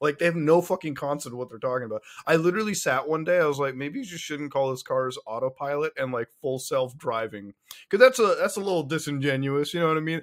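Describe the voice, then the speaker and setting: This man's pitch is fairly high. He speaks at a very fast pace. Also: ordinary pitch variation. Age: 20s. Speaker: podcast co-host. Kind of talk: casual chat. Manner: animated.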